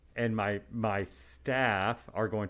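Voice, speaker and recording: A man with a West Texas accent speaks with vocal fry on a very clean recording with a silent background. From West Texas (Midland). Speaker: radiation oncologist. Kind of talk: podcast interview.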